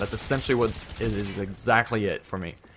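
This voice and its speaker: A man talks fairly quickly, and background noise is noticeable. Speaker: YouTube gaming commentator. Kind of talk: casual vlog commentary. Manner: casual.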